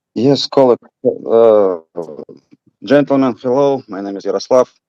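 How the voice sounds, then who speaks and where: In a Russian accent, a dark, mellow voice goes at a moderate pace with long, frequent pauses and big swings in loudness. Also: man, dry, close sound with no echo. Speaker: audience member. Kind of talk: audience question. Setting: video call. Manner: halting.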